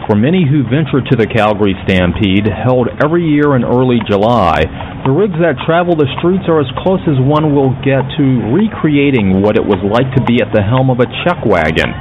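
This man's voice sits at a medium pitch but makes very wide pitch swings. He talks at a moderate pace, and there is noticeable background noise. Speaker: radio host. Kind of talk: radio show hosting. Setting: studio.

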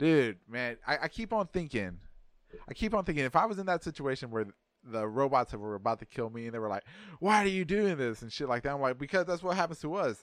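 Speech in an American accent comes at a very fast pace with very wide pitch swings. The recording is very clean, with a silent background. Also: man, fairly high pitch for a man. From Texas. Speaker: podcast host. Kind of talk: casual chat.

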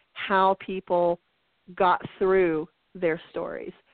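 A woman's medium-pitched voice with fairly even intonation, a plain, everyday voice. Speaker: podcast co-host. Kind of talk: casual chat.

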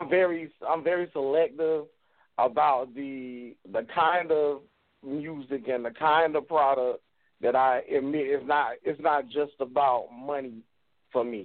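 This man has an unremarkable speaking voice with a fairly high pitch, ordinary pitch variation and an American accent. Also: fairly slow pace. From Wilmington, North Carolina. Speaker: music artist and label owner. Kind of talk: call-in conversation.

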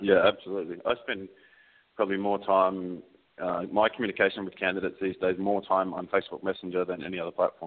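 A man speaks with an Australian accent at a very fast pace. His very deep, low pitch stays monotone and flat. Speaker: recruiter. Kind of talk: casual interview.

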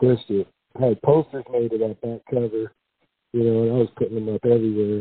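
A man with an American accent, fairly quick in pace and monotone, with flat intonation. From US West Coast, San Jose, California. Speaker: rapper. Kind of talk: casual chat.

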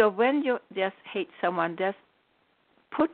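A woman with a non-native accent and lively intonation. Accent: foreign-accented English. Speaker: spiritual teacher and radio host. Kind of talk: call-in radio talk.

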